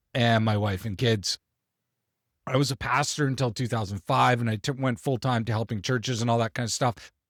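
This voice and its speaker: A man's plain, everyday voice with a Canadian accent, medium in pitch and at a fairly quick pace, in a very clean recording with a silent background and a dry, close sound with no echo. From Canada. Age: 40s. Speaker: business coach. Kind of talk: tutorial. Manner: casual with frequent fillers.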